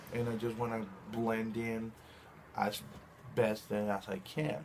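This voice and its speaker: In a Spanish accent, a man talks fairly slowly with fairly even intonation. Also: medium pitch for a man. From Chile. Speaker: video blogger. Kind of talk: casual monologue. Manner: halting, with restarts.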